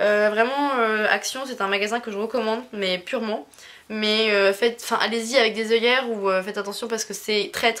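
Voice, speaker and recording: Speaking at a fairly quick pace with fairly even intonation, a woman with a fairly high pitch is heard in a very clean recording with a silent background. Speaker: YouTuber, craft haul vlogger. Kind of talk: casual haul vlog. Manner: fast; hesitant, many fillers.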